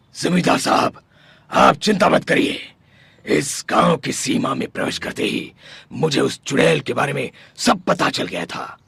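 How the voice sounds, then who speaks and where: A raspy, cartoonish character voice. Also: man, fairly high pitch for a man, moderate pace. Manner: confident, authoritative.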